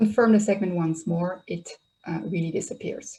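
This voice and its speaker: A woman with a Dutch accent at a moderate pace. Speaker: software trainer. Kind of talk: webinar tutorial.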